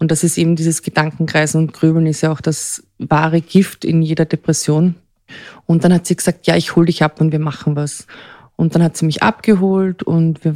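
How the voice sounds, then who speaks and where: A woman with an Austrian accent speaks in a very deep, low pitch and a dark, mellow tone. Her pace is moderate, her intonation fairly even, and the sound dry and close with no echo. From Austria, Vienna area. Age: 40s. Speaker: person with bipolar disorder. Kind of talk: personal testimony. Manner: halting, pausing to think.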